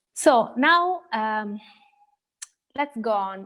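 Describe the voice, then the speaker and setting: A woman's fairly high voice with an Italian accent. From Italy. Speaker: central bank economist. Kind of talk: lecture. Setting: video call. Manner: halting.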